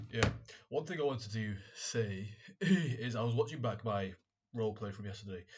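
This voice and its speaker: Somewhat breathy man with a British accent, medium pitch and ordinary pitch variation, at a moderate pace. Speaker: vlogger, medical student. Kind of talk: casual vlog monologue. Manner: halting, repeats words.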